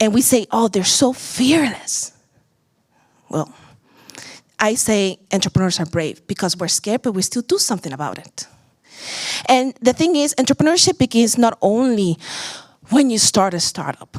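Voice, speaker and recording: A woman with a Puerto Rican accent speaks at a moderate pace with very wide pitch swings, in a dry, close sound with no echo. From Puerto Rico. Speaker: startup founder and CEO. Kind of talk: conference pitch talk.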